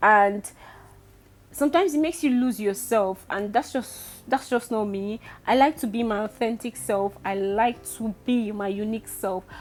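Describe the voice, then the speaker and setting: Music in the background behind a woman at a fairly high pitch, moderate pace and ordinary pitch variation. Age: 20s. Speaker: vlogger. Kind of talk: casual vlog talk. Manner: speaking louder.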